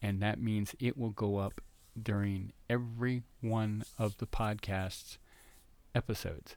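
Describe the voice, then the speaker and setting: A man's voice at medium pitch in a very clean recording with a silent background. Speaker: podcast host covering fan conventions. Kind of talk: solo podcast monologue. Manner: hesitant, many fillers.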